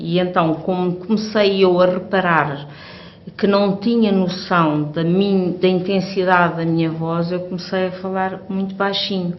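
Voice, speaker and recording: A woman with a European Portuguese accent speaks at a fairly slow pace amid audible room echo and noticeable background noise. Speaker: hearing aid user. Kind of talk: testimony. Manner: halting.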